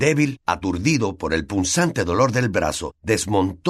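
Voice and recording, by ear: A natural voice reads aloud, its intonation lively. Behind it, the background stays quiet.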